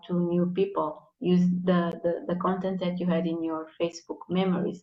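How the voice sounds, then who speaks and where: Moderate in pace, the speech carries a non-native accent. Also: woman. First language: not English. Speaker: content marketing guest. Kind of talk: live interview, tips. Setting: live video stream.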